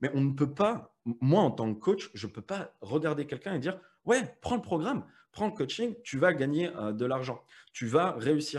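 A fairly high-pitched male voice with very wide pitch swings. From France, Metz (Lorraine). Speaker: affiliate marketing entrepreneur and coach. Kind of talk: casual interview chat. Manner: hesitant, many fillers and repetitions.

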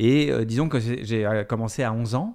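A man talks at a medium pitch, heard in a very clean recording where the background is silent. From France, Fresnes (Paris suburbs). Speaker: documentary filmmaker. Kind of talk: interview. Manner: halting, many fillers and repetitions.

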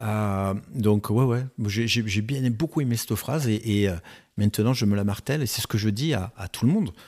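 At a moderate pace, a man with a plain, everyday voice and a fairly low pitch talks with ordinary pitch variation. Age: 50s. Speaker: real estate agency founder. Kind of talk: casual chat.

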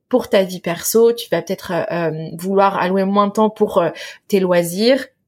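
The pace here is fairly slow. It's a normal speaking voice with ordinary pitch variation. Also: woman. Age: 30s. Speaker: online business founder. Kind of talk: interview testimony.

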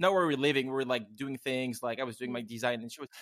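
A man's fairly high voice with a French accent and ordinary pitch variation. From France. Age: 30s. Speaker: podcast host and cafe owner. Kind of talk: casual interview chat. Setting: remote recording from home. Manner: fast when excited.

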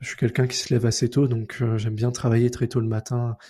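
A man talks at a fairly quick pace with monotone, flat intonation and medium pitch. His tone is dark, mellow and somewhat breathy, dry and close with no echo, on a very clean recording with a silent background. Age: 20s. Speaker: freelance front-end developer. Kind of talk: casual interview.

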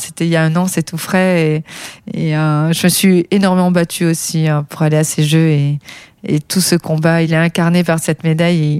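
A woman's fairly low voice holds a monotone, flat intonation throughout. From southern France, Perpignan. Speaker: paralympic athlete. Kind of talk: testimony. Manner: halting.

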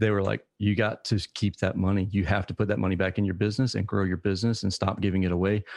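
A man with an American accent talks at a very fast pace with hardly any pauses, his fairly low voice monotone and flat, his loudness very even, in a dry, close sound with no echo against a quiet background. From US South, Savannah, Georgia. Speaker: HVAC business owner and podcaster. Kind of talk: interview.

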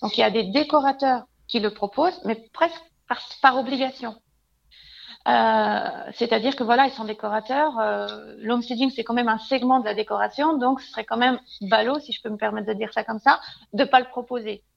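Her voice high in pitch, a woman speaks at a fairly quick pace with ordinary pitch variation and big swings in loudness. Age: 30s. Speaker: home stager. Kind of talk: interview. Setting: remote call.

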